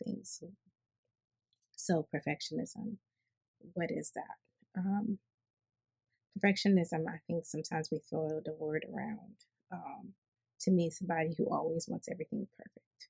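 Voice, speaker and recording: A woman's somewhat breathy voice, dark and mellow in tone and fairly low in pitch, carries ordinary pitch variation in a dry, close sound with no echo. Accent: American. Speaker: healthcare worker and vlogger. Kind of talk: unscripted personal talk with teaching. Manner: hesitant, many fillers and restarts.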